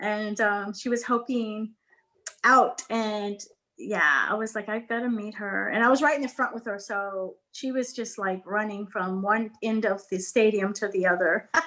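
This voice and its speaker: A woman's fairly high voice, fairly slow in pace, with ordinary pitch variation. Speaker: guest speaker on a notary business show. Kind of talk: casual chat. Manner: loud; animated.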